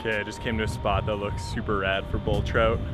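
Music plays behind a man whose voice has a dry sound with no echo. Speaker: hiker vlogger. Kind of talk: casual vlog chat. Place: forest. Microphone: phone near.

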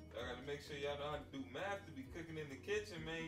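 Over clear background music, a man talks in a fairly high voice. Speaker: home vlogger. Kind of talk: casual cooking vlog talk to camera. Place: kitchen. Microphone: camera far.

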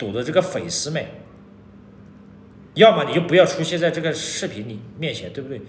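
A man talks with vocal fry. Audible room echo surrounds his voice. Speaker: vlogger. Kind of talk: casual vlog chat. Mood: annoyed, lecturing. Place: home room. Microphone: phone near.

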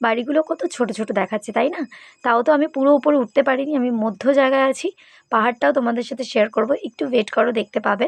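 A woman speaks at a high pitch with ordinary variation. The sound is dry and close, with no echo. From West Bengal, Purulia. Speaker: vlogger. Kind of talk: travel vlog. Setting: outdoors on a hill. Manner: chatty, addresses viewers directly.

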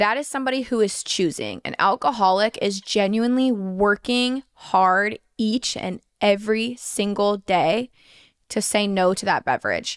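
Over a quiet background, a woman talks at a fairly slow pace. Her tone is animated, with ordinary pitch variation. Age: 20s. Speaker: podcast host. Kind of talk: casual chat. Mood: earnest, reflective. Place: home room. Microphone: studio mic.

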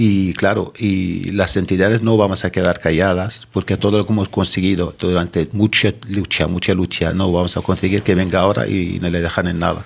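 A man with a very deep, low pitch speaks at a moderate pace in a monotone, flat way, with very even loudness and hardly any pauses. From Mauritania. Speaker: activist spokesperson; guest. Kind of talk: interview. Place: studio. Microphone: studio mic.

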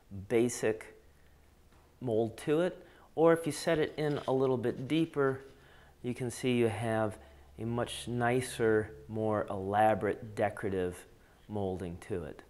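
At a fairly slow pace, a man talks with long, frequent pauses. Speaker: presenter. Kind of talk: tutorial. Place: workshop. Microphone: lapel.

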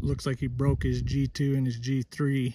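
The tone is dark and mellow, with little pitch movement. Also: man.

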